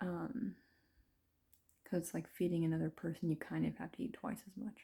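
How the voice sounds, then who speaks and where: A woman talks quietly. Her pace is moderate. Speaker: vlogger. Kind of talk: casual monologue vlog. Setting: at home after a bath, late at night. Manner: hesitant, many fillers.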